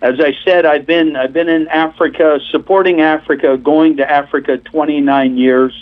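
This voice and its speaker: A man with an unremarkable speaking voice talks at a moderate pace, his fairly high pitch held in fairly even intonation with hardly any pauses. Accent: American. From Pennsylvania. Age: 60s. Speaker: missionary preacher. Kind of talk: testimony.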